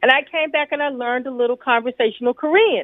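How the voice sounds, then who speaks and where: A woman with a New York accent talks at a fairly quick pace in a high pitch, with ordinary pitch variation. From New York City. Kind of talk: radio discussion.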